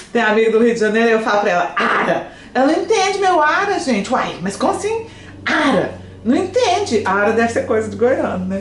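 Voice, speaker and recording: Noticeable background noise and audible room echo accompany a voice at a moderate pace with very wide pitch swings. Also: woman, fairly high pitch for a woman. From Brazil, Goiânia (Goiás). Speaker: French teacher. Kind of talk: live stream chat with viewers. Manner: animated.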